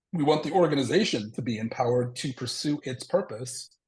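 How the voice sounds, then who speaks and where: A somewhat breathy man's voice at medium pitch. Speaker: organizational consultant presenter. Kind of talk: presentation with slides. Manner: many filler words.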